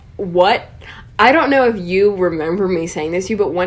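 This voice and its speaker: This woman talks at a fairly quick pace in a fairly low pitch with lively intonation. Audible room echo surrounds her voice. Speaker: podcast co-host, college student. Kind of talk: casual chat.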